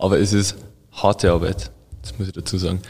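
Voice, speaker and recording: A man at a fairly low pitch, talking at a moderate pace. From Bavarian Forest, Bavaria. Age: 20s. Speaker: food chemist and sensory lab head. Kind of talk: casual interview.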